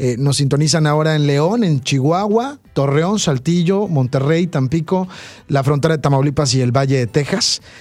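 Over background music, a man with a fairly high voice talks at a moderate pace, his loudness very even and his pitch varying in an ordinary way. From Veracruz, Mexico. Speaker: radio host. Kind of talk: radio interview, conversational. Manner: animated, warm.

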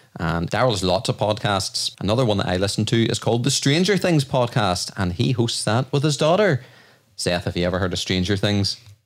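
A man with an Irish accent speaks at a fairly quick pace in a fairly low pitch, his intonation lively and his loudness very even, on a very clean recording with a silent background. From Ireland. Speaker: podcast host. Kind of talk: casual chat.

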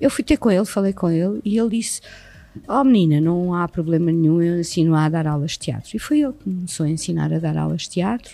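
Her voice is fairly low for a woman, with a dark, mellow tone. She speaks very fast with lively intonation. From Portugal, Setúbal. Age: 50s. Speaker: actress and acting teacher. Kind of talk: casual interview. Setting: recorded at a school.

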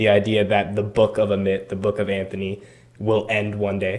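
The man speaks in an ordinary speaking voice at a moderate pace. His pitch is fairly low. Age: 20s. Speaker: podcast host. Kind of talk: interview.

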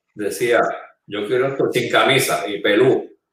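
This man talks at a fairly slow pace. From Puerto Rico, San Juan metro area. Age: 60s. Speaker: political candidate, former finance secretary. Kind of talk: panel interview.

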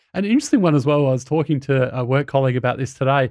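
Against a quiet background, a man with an Australian accent talks at a very fast pace at a fairly high pitch. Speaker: podcast host. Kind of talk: casual interview.

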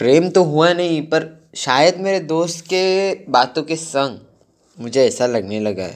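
The man's fairly high voice has lively intonation. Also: very clean recording, silent background. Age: 20s. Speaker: student vlogger. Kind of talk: personal reflection monologue. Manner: halting.

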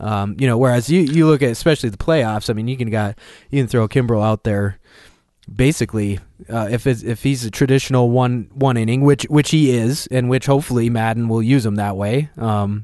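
Against a quiet background, a man with an American accent speaks at a fairly quick pace and medium pitch in a dark, mellow tone. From Minnesota. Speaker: baseball podcast co-host, Cubs fan. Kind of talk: casual sports debate. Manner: halting, many fillers.

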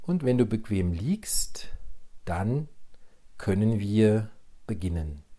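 Fairly low in pitch, a man speaks very slowly, with long, frequent pauses and lively intonation. His tone is dark and mellow and somewhat breathy. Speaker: transformation coach, podcast host. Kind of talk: solo podcast talk on mindfulness; guided meditation. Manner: calm, measured.

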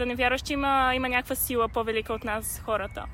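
Bright and sharp in tone, a woman's high voice moves at a fairly quick pace with fairly even intonation. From Bulgaria. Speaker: podcast host. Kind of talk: casual chat. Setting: outdoors in a park.

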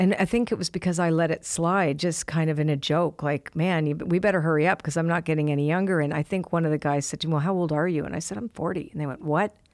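The recording is very clean, with a silent background. A woman speaks in it with a fairly low pitch. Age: 60s. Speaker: oracle card author and psychic reader. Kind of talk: casual interview chat. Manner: animated.

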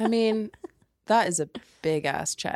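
Spoken at a very slow pace with an English accent. The sound is dry and close with no echo, on a very clean recording with a silent background. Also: woman. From England. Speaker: podcast co-host. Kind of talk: casual chat.

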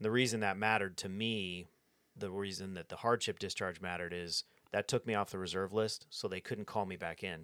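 Recorded very cleanly against a silent background with a dry, close sound and no echo, a man with a normal speaking voice and fairly low pitch speaks at a fairly quick pace with fairly even intonation. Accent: American. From California, Sierra Nevada near Fresno. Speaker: firefighter and army veteran. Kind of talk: casual interview.

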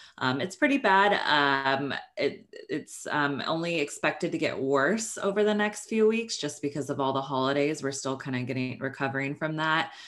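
Speaking with an American accent, a woman uses a very deep, low voice and lively intonation. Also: moderate pace, very clean recording, silent background. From Northern California. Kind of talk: interview.

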